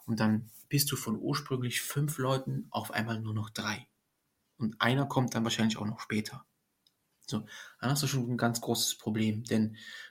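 At a moderate pace with long, frequent pauses, the somewhat breathy voice keeps fairly even intonation in a very clean recording with a silent background. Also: man. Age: 30s. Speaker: nursing trainee. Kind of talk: casual chat.

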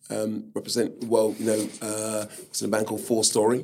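At a moderate pace, a man delivers his words in a fairly low voice. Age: 50s. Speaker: singer-songwriter. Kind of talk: interview. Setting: studio.

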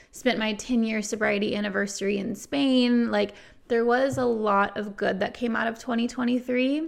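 In a plain, everyday voice, a woman speaks at a moderate pace with fairly high pitch and fairly even intonation, on a very clean recording with a silent background. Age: 30s. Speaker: sobriety podcast host. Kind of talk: casual monologue.

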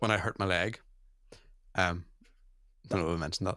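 On a very clean recording with a silent background, a man with a Northern Irish accent speaks in a bright, sharp tone. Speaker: podcast host. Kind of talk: casual chat.

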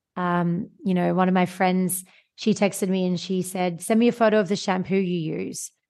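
With an Australian accent, a woman talks at a moderate pace and medium pitch in a monotone, flat intonation against a quiet background. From Australia, Sydney. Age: 30s. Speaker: podcast host. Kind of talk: interview.

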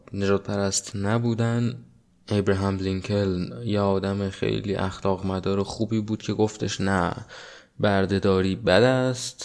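This man has a normal speaking voice with a fairly low pitch, talking at a fairly slow pace with fairly even intonation. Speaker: podcast host. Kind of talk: solo monologue podcast on politics and society. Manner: casual conversational.

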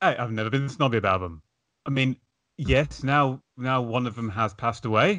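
With a British accent, a man speaks at a moderate pace in a medium pitch, his tone bright and sharp and his intonation lively against a quiet background. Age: 30s. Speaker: podcast host. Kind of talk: casual chat.

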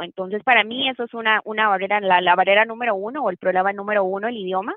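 A woman is speaking at a medium pitch. Her pitch varies in an ordinary way. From Costa Rica. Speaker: lawyer and banker. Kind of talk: interview. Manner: halting, with repetitions and fillers.

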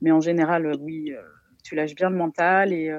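Her voice sits fairly low for a woman. The tone is dark and mellow. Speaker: art therapist. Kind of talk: expert commentary. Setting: phone call.

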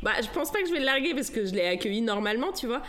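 A woman's lively intonation and very fast delivery come through noticeable background noise. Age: 30s. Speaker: stay-at-home mother and naturopath. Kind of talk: testimony. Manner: casual and hesitant, many fillers.

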